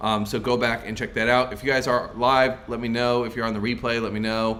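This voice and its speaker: A man speaks at a medium pitch with a bright, sharp tone. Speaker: sales coach. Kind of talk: live stream Q&A. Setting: live stream. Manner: wide pitch range, animated; fast.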